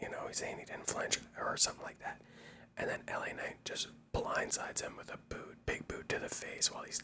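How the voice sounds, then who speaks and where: Whispering at a fairly quick pace, a man is heard over noticeable background noise. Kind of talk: ASMR wrestling show review, whispered talk to camera. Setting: home-recorded microphone, mono audio. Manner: whispered.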